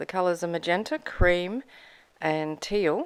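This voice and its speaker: With an Australian accent, a woman speaks at a fairly slow pace in a fairly low pitch, recorded very cleanly against a silent background. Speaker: mixed media artist, craft YouTuber. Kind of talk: tutorial. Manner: casual, chatty.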